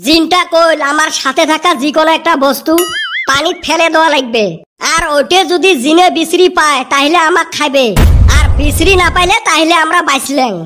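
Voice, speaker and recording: A hoarse male put-on character voice at a moderate pace, with clear background noise. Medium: cartoon. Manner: dramatic, teasing storyteller.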